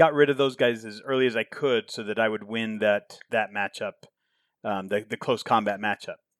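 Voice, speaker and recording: Intonation here stays fairly even in an unremarkable speaking voice. The delivery is at a moderate pace. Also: man. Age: 50s. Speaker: tabletop wargame player. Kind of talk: casual chat. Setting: recording studio.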